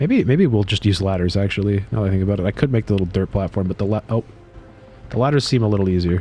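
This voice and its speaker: Over music in the background, a man talks very fast with ordinary pitch variation. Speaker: video game streamer. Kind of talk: casual live-stream chat while gaming. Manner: casual, halting with fillers.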